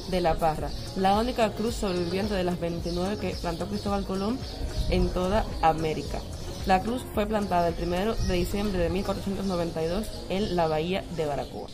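A woman's fairly low voice with ordinary pitch variation, at a fairly slow pace over clear background music. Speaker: travel vlogger. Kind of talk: casual vlog tour commentary. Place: street. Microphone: phone near.

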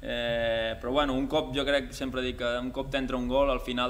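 Over light background noise, a man talks at a moderate pace in a medium pitch. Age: 20s. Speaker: footballer. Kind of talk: press conference. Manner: halting, many repeated words and fillers. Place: hall. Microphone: podium.

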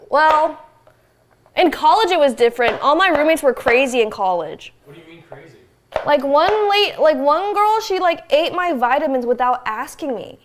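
Lively and high-pitched, a woman talks at a moderate pace with big swings in loudness over noticeable background noise. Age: 20s. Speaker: streamer; guest. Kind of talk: casual chat. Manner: animated. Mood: relaxed, chatty. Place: kitchen. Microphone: lapel.

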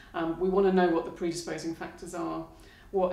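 Flat, monotone intonation comes through with audible room echo. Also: woman. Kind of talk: interview answer. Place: studio.

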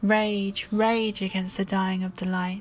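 Over music in the background, a woman speaks at a very slow pace in a calm, soothing tone. Her pitch is medium and her intonation monotone and flat. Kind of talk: poetry reading.

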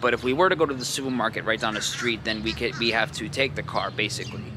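A man speaks with an American accent. Music plays in the background, and the sound is dry with no echo. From New York area (Rockland County). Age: 20s. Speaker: vlogger. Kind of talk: casual vlog narration. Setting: outdoors and around the city while filming. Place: station. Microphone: phone near.

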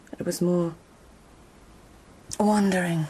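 Using a put-on character voice, a woman speaks slowly at a fairly low pitch with a dark, mellow tone, a husky, rough edge, and fairly even intonation.

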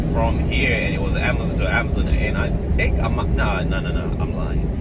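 Speech moves along at a moderate pace while loud noise fills the background. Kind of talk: casual vlog chat. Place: car. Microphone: phone near.

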